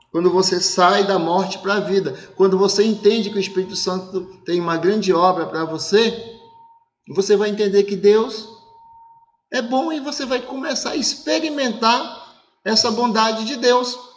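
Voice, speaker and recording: At a moderate pace, a man with a high pitch speaks with ordinary pitch variation in audible room echo. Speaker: pastor. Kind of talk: sermon. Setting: online church service broadcast.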